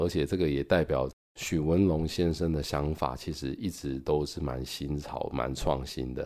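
A man with a Taiwanese accent speaks at a moderate pace with ordinary pitch variation. The recording is very clean, with a silent background. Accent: Taiwanese Mandarin. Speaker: podcast host reviewing books. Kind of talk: book review monologue. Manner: casual, with many filler particles.

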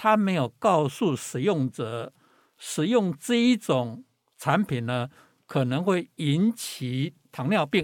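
Speaking very slowly at a fairly high pitch, a man swings very widely in pitch on a very clean recording with a silent background and a dry, close sound with no echo. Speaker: professor. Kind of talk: interview. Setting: studio.

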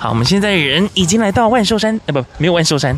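Noticeable background noise sits behind a man talking at a very fast pace. His intonation is lively. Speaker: podcast host. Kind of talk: casual vlog-style narration. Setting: mobile on-location recording; in a car.

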